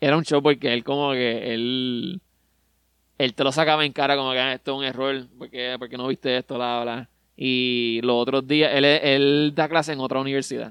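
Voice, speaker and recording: With a Puerto Rican accent, a man of medium pitch talks at a moderate pace in a monotone, flat intonation, the sound dry and close with no echo. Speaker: podcast co-host. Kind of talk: casual chat. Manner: halting.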